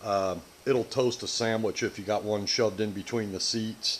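With light background noise, a man speaks at a moderate pace. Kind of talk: tutorial. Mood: relaxed, mildly humorous. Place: workshop.

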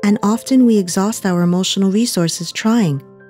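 With music in the background, a woman talks at a moderate pace and medium pitch, showing ordinary pitch variation. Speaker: voice actor. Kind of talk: warm reflective commercial narration.

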